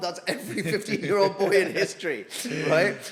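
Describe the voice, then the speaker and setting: An animated tone at a fairly quick pace, over noticeable background noise. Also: man. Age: 30s. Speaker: former army officer and fitness influencer. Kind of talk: podcast interview. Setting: restaurant.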